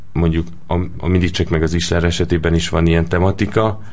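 Through noticeable background noise and audible room echo, a man speaks with a very deep, low pitch. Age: 20s. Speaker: film director. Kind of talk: interview.

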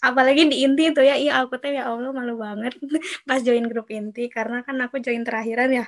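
Her high voice runs at a very fast pace with monotone, flat intonation. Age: 20s. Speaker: student organization PR member, podcast host. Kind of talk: casual chat.

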